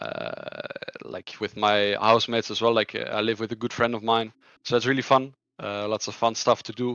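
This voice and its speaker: A man with a Dutch accent speaks at a medium pitch and a moderate pace in a monotone, flat intonation. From Netherlands. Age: 20s. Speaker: esports player. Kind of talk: interview. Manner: halting, many fillers and repetitions.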